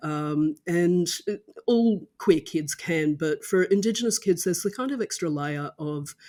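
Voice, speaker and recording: Someone speaks at a fairly slow pace with an Australian accent, in a very clean recording with a silent background. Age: 50s. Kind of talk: podcast interview.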